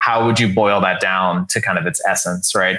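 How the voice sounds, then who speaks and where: Speaking in a monotone with flat intonation, a man with an American accent uses a fairly low pitch. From US South, San Antonio, Texas. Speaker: author and leadership coach. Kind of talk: casual interview.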